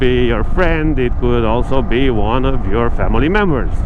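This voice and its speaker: A man talks at a moderate pace. The recording carries audible room echo and noticeable background noise. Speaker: vlogger. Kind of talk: casual explainer vlog. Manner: halting, many fillers.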